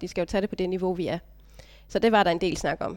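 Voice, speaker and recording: A woman talks in a monotone, flat intonation on a very clean recording with a silent background. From Denmark, Funen (Stige, Odense). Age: 30s. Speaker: vocational business graduate, mother. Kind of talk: casual interview. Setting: meeting room.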